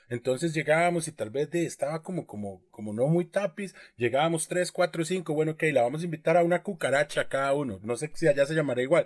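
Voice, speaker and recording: A man with a Costa Rican accent speaks very fast at a fairly high pitch with ordinary pitch variation, in a dry, close sound with no echo. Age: 30s. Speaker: podcast co-host. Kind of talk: casual chat.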